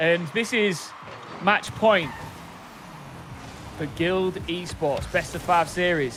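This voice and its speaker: A man with a Hull accent speaks in a high pitch at a very slow pace, with long, frequent pauses and ordinary pitch variation. Noticeable background noise is present. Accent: northern English (Hull). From northern England, Hull. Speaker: esports caster. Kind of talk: live commentary. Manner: animated.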